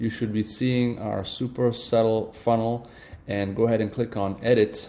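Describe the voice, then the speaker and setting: This man's medium-pitched voice has a dark, mellow tone and a monotone, flat intonation, moving at a moderate pace. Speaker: online marketing tutorial creator. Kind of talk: tutorial. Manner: hesitant, many fillers.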